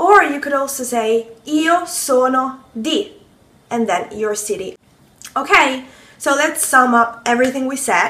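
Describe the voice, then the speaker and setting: A woman with an Italian accent uses a raised, projected voice at a high pitch and a fairly slow pace. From Italy, Rome. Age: 20s. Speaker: language teacher. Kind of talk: tutorial. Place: kitchen. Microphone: phone near.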